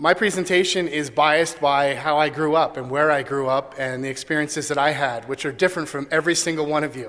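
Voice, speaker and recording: Fairly high-pitched, a man talks at a very fast pace with hardly any pauses and fairly even intonation. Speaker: conference speaker, privacy consultant. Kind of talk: conference talk. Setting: stage with audience.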